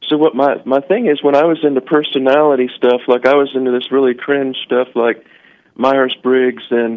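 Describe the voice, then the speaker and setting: A man with an American accent and a normal speaking voice, medium in pitch, at a moderate pace with fairly even intonation and very even loudness. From US South. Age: 40s. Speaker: caller. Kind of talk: casual chat. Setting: phone call.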